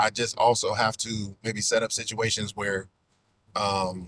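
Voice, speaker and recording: A man's medium-pitched voice with a bright, sharp tone and fairly even intonation. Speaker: podcaster and content creator. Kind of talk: casual podcast talk. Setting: recorded in a car.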